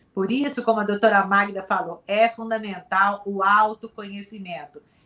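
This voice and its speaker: A woman with a plain, everyday voice talks at a moderate pace, medium in pitch and fairly even in intonation. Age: 60s. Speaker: psychologist. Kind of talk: TV talk show debate.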